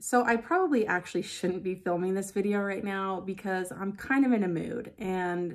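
The background is quiet as a woman speaks. Her pace is fairly slow and her pitch varies in an ordinary way. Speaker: beauty vlogger. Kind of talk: casual vlog chat. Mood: a bit frustrated, venting. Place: home room. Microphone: phone near.

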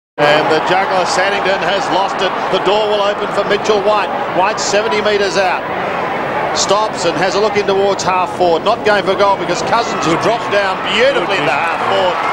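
A man speaks at a moderate tempo while loud noise fills the background. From Australia. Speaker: play-by-play commentator. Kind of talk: live sports commentary of an Australian rules football match.

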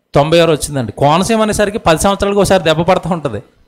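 Here a man speaks with a high pitch. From Godavari river island village, Andhra Pradesh; Andhra Pradesh. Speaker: preacher. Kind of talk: sermon. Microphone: handheld.

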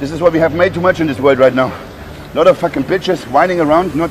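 A man rattles on very fast with ordinary pitch variation while music plays in the background. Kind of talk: motivational rant. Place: gym.

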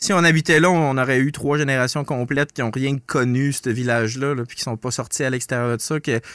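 Speech comes at a fairly quick pace with fairly even intonation. The sound is dry with no echo, and the background is quiet. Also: man. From northern Quebec. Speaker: podcast host. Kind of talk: casual chat. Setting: studio. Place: studio. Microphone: studio mic.

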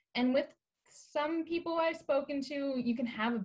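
At a moderate pace, a woman speaks in a high pitch with lively intonation. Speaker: forum moderator. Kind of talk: interview. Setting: video call. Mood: warm, friendly. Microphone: video call.

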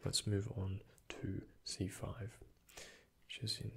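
A man speaks in a soft-spoken way. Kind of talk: roleplay medical exam, soft-spoken. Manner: soft-spoken, hushed ASMR doctor voice.

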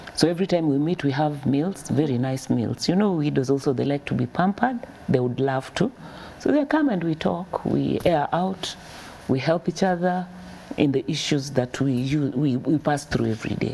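A woman with a very deep, low pitch talks with ordinary pitch variation over light background noise. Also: moderate pace. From Kenya, Nairobi; Kenya. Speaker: charity founder. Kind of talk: interview. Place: studio.

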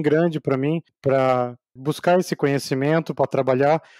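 Dry and close with no echo, a man's fairly high voice carries a dark, mellow tone, fairly even intonation and a moderate pace. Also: quiet background. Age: 40s. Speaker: data engineer. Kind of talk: interview.

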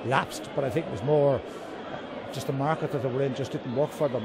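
A man talks very fast in a dry, echo-free sound over loud background noise. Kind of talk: interview answer. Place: shop. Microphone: handheld.

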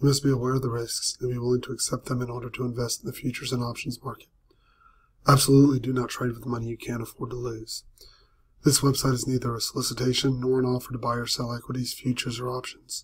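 Speaking at a very fast pace, a man keeps a monotone, flat intonation at medium pitch, his voice somewhat breathy. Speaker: trading coach. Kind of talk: disclaimer read.

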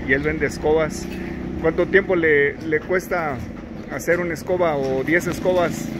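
A man talks with fairly even intonation. Noticeable background noise is present. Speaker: street interviewer, channel host. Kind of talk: street interview questions. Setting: outdoors. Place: street.

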